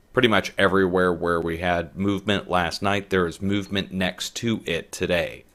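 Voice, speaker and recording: Quiet and very deep in pitch, a man speaks at a moderate pace with monotone, flat intonation. The recording is very clean, with a silent background. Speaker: earthquake forecast video host. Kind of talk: casual forecast commentary. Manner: quiet, keeping voice down.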